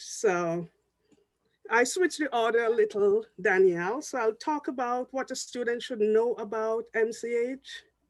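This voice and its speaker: Someone with a Jamaican accent speaks at a fairly slow pace. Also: very clean recording, silent background. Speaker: public health professor. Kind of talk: panel discussion talk.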